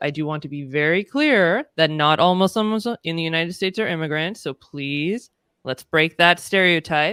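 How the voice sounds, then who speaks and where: With a Californian accent and a fairly low pitch, a woman speaks at a moderate pace with lively intonation in a dry, close sound with no echo. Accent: Californian American. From California, US. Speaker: diversity and inclusion consultant. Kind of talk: casual interview conversation.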